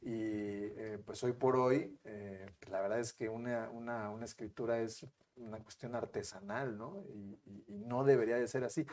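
A fairly slow pace with fairly even intonation and big swings in loudness. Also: man, medium pitch for a man. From Mexico, San Luis Potosí. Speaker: lawyer. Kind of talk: interview. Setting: studio. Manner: halting.

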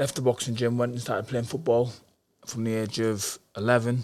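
A man talks at a fairly quick pace with a northeast English accent. His pitch sits in the medium range. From northeast England, Darlington. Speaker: professional boxer. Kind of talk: interview.

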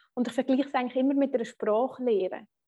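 A woman's high-pitched voice holds a fairly even intonation. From rural Switzerland. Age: 30s. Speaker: finance blogger and podcaster. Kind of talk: interview. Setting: video call.

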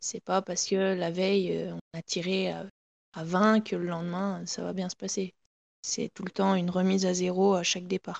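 The voice moves at a moderate pace. Its intonation is monotone and flat. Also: woman, medium pitch for a woman. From France, Haute-Savoie. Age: 20s. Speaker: professional biathlete. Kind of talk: interview.

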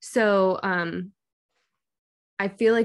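With fairly even intonation at a medium pitch, a woman talks in an unremarkable speaking voice. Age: 20s. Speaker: working mother. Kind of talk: interview.

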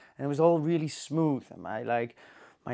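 A man speaks with a Dutch accent. His pitch varies in an ordinary way. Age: 30s. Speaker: cinematographer. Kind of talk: casual chat. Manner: halting.

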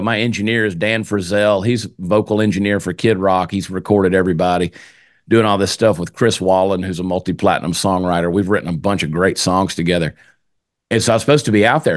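This man talks at a very fast pace. He has a fairly low pitch and a Southern US accent. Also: fairly even intonation, quiet background. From US South (Georgia). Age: 50s. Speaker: comedian, podcaster and singer. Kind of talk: casual chat. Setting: home studio.

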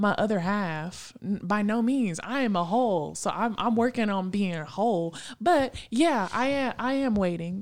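In a very clean recording with a silent background, a woman with a normal speaking voice talks at a medium pitch and a fairly slow pace, with lively intonation, very even loudness, and hardly any pauses. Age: late 20s. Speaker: podcast co-host. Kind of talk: casual faith discussion.

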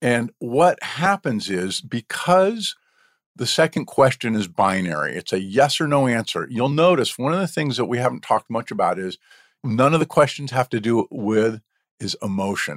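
The recording is very clean, with a silent background and a dry, close sound without echo. A man talks at a moderate pace, his pitch swinging very widely. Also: medium pitch for a man. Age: 60s. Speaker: entrepreneur and coach. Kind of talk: interview.

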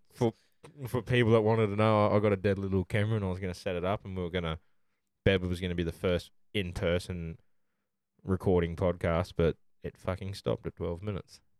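A man with an Australian accent speaks at a very fast pace in a very deep, low pitch, with fairly even intonation and long, frequent pauses, on a very clean recording with a silent background and a dry, close sound with no echo. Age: 20s. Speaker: podcast host. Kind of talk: casual chat.

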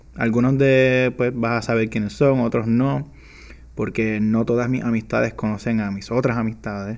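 A man at medium pitch, moderate pace, and fairly even intonation. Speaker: podcast host. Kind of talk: casual monologue. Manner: casual, Spanglish code-switching. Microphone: new microphone.

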